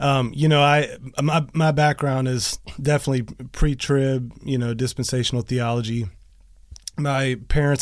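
This man has an unremarkable speaking voice. His pitch is fairly high. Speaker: podcast host. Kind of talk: casual interview. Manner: excitable.

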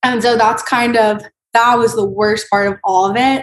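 A woman with an American accent speaks at a fairly slow pace and fairly high pitch, her intonation monotone and flat. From Florida. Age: 20s. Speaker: breast cancer survivor. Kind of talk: interview. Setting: video call.

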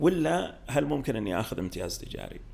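At a moderate pace, a man talks with very wide pitch swings in a room with audible echo. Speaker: startup studio executive. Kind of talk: podcast interview.

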